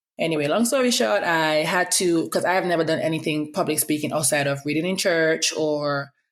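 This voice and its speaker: A woman speaks in a very deep, low voice at a fairly quick pace, with ordinary pitch variation. The recording is very clean, with a silent background. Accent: Antiguan. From Antigua. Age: 30s. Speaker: podcast host, public health professional. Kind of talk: casual podcast monologue. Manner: fast; occasional stutter when fast.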